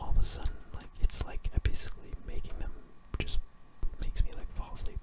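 At a fairly quick pace, a man is whispering. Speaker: ASMR gaming YouTuber. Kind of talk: casual talk to camera. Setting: home recording with keyboard sounds. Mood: relaxed, sleepy.

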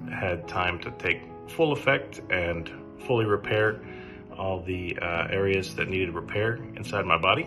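Clear music plays in the background. Over it, a man speaks at a fairly slow pace with a very deep, low pitch. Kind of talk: testimonial. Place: home room. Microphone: phone near.

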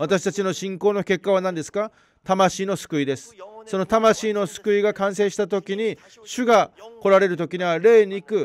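A man with a Korean accent speaks in a high voice at a moderate pace. His intonation stays fairly even, and the sound is dry and close with no echo. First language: Korean (speaking Japanese). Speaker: pastor. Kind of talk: sermon.

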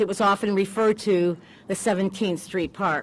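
The pace is moderate as a woman talks. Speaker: mayor acting as ceremony emcee. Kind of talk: ceremonial public speech. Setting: outdoors at a park ceremony. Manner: hesitant, many filler words. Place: open country. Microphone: podium.

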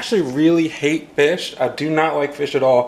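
Fairly even intonation marks a man's fairly quick pace. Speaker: fitness vlogger. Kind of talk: casual vlog chat. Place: home room. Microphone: phone near.

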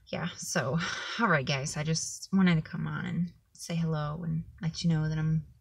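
A woman speaks at a fairly low pitch and a fairly slow pace, with fairly even intonation. Her voice is somewhat breathy, and the background is quiet. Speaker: vlogger. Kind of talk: personal vlog update. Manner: monotone. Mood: low, subdued, heartfelt. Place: car. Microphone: phone near.

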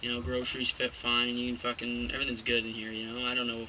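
A man talks at a fairly quick pace. Light background noise sits behind him. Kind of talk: casual vlog chat. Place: car. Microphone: phone near.

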